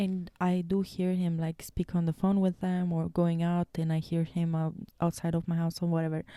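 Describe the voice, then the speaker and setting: A woman with a Romanian accent talks at a moderate pace with hardly any pauses, in a fairly low voice with a dark, mellow tone and monotone, flat intonation. Her loudness stays very even, and the sound is dry and close with no echo. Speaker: podcast co-host. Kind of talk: casual chat.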